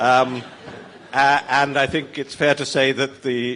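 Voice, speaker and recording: A medium-pitched man with a British accent, flat and monotone. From Britain. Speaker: former magazine editor, panelist. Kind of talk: panel discussion.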